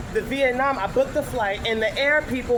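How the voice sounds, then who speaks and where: The voice moves at a moderate pace with an animated tone. Noticeable background noise runs underneath. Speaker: travel vlogger. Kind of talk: casual storytelling vlog.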